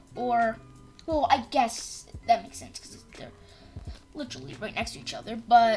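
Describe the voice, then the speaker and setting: A woman speaks at a moderate pace with a high pitch and very wide pitch swings. Music plays in the background. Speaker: gaming live streamer. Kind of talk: live stream gameplay commentary. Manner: halting, repeats words. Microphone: cheap mic, sounds crappy when loud.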